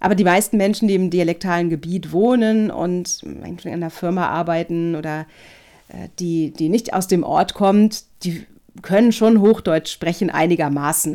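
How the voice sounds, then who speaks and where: A woman's dark, mellow voice, fairly low in pitch, with fairly even intonation at a moderate pace. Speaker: voice and speech coach. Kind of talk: podcast tutorial chat. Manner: crisp, very clear articulation.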